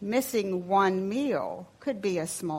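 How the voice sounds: Someone reads in a natural reading voice. The pitch shows ordinary variation.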